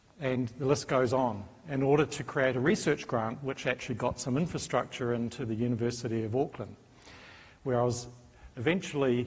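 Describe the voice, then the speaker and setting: Speaking at a fairly quick pace, a man with a New Zealand accent has a medium pitch and a somewhat breathy voice. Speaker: professor. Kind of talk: conference talk.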